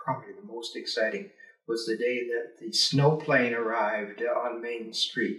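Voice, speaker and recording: A man with a Canadian Prairies accent at a moderate pace, with big swings in loudness. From rural Alberta, Canada. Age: 70s. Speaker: retired teacher and politician. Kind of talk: oral history interview. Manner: hesitant, many filler words.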